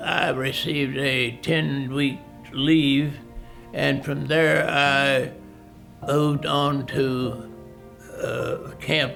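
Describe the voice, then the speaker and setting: Over music in the background, a man speaks in a fairly high pitch. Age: 80s+. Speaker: war veteran. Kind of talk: interview answer.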